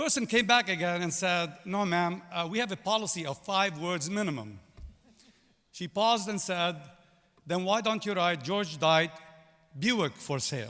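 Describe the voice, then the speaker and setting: A man with a Lebanese accent and a high pitch speaks in a bright, sharp tone, leaving long, frequent pauses. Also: lively intonation, moderate pace. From Lebanon. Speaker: business executive, commencement speaker. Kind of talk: commencement speech. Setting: stage with audience.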